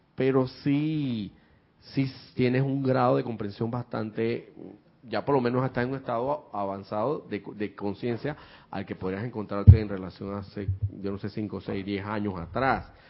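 With music in the background, a man talks at a fairly slow pace and ordinary pitch variation. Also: medium pitch for a man. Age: 70s. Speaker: class participant. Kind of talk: class discussion.

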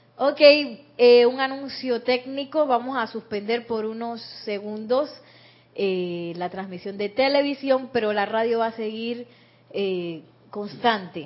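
A woman talks at a very slow pace, her fairly high pitch showing ordinary pitch variation. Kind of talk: spiritual teaching talk.

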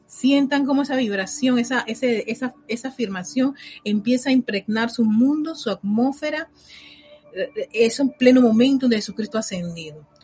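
Backed by music, a woman speaks at a high pitch. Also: ordinary pitch variation. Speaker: spiritual teacher leading an online class. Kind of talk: guided meditation, slow solemn spiritual invocation; casual chat with online class. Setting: live video call streamed to online audience. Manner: slow, calm, reverent, measured; gentle, soothing, devotional.

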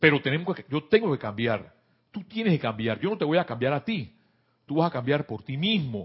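A man's somewhat breathy, fairly high voice at a fairly quick pace, with very wide pitch swings and big swings in loudness. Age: 50s. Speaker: spiritual teacher. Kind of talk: spiritual class. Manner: halting.

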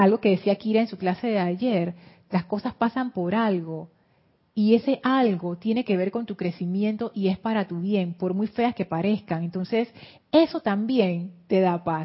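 With a somewhat breathy, medium-pitched voice, a woman talks at a fairly slow pace and ordinary pitch variation. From Panama. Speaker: spiritual teacher and livestream host. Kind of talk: livestream class with guided meditation. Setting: YouTube livestream.

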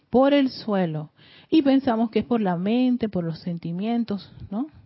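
A woman with a fairly high pitch sounds animated and somewhat breathy. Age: 50s. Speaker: spiritual teacher. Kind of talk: lecture.

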